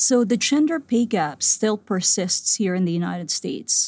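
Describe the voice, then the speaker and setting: In a very clean recording with a silent background, a woman speaks at a moderate pace in a somewhat breathy, medium-pitched voice. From Philippines (Manila). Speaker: CEO and founder of women's leadership platform. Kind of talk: conversation.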